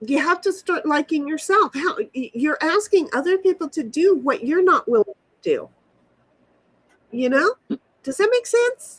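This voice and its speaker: A woman's extremely high voice at a moderate pace, with very wide pitch swings, long and frequent pauses, and a dry, close sound with no echo. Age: 60s. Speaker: livestream host. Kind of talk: casual chat. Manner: animated; halting.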